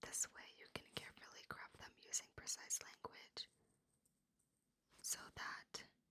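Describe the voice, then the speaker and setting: Whispering from a woman at a fairly slow pace, with long, frequent pauses and big swings in loudness. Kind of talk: ASMR reading aloud from a self-help book. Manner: whispered, close up, soft.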